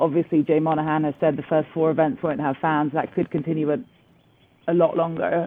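A woman talks at a very fast pace in an English accent. Her pitch is very deep and low. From England. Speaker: golf TV presenter. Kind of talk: interview.

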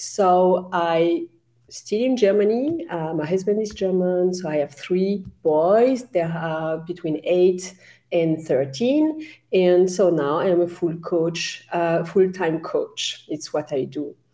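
The voice has a dark, mellow tone and ordinary pitch variation. Its pace is very slow. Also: woman, fairly low pitch for a woman. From France. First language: French. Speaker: career coach. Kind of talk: interview.

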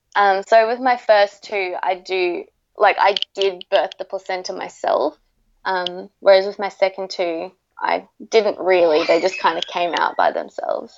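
In an Australian accent, a woman talks at a fairly slow pace. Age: 20s. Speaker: mother sharing birth stories. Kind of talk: interview, personal storytelling. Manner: hesitant, frequent 'um' fillers.

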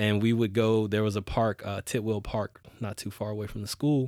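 At a moderate pace, a man with an American accent uses a plain, everyday voice at fairly low pitch, in a very clean recording with a silent background and a dry, close sound with no echo. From US South, Houston, Texas. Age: 30s. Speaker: politician and transportation advocate. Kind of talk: interview. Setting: studio.

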